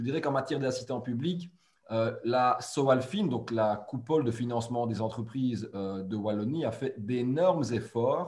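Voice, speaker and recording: In a normal speaking voice, a man talks at a fairly slow pace and a medium pitch with ordinary pitch variation. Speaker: webinar moderator. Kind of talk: webinar introduction. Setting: webinar.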